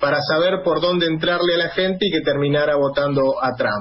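A man keeps a moderate pace while noticeable background noise plays behind him. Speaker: radio host. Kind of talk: radio interview and political commentary. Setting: radio studio.

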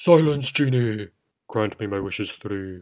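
This man puts on a character voice. It sits at a fairly low pitch and moves at a moderate pace. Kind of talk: comic overacting. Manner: sing-song rhyming, pompous decrees.

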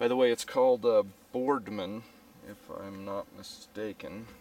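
The sound is dry with no echo as a man speaks. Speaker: hiker vlogger. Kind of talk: casual vlog chat. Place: forest. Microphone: phone near.

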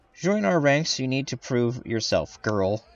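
A man puts on a gruff character voice at medium pitch. His intonation is lively and his pace fairly slow.

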